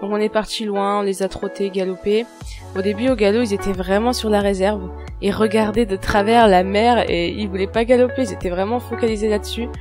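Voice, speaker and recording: Soft-spoken and calm, a woman talks at a moderate pace over music in the background. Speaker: horse rider. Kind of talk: voice-over narration. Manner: soft, calm.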